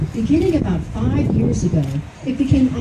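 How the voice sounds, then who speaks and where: A woman talks at a moderate pace, with audible room echo and noticeable background noise around her. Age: 70s. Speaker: speaker with Alzheimer's disease at charity walk. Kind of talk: prepared speech read aloud. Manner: formal.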